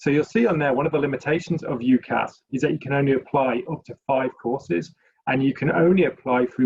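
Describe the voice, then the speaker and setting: A man with a British accent speaks somewhat breathily at a fairly quick pace and fairly high pitch, with ordinary pitch variation. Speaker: university recruiter. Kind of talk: webinar presentation.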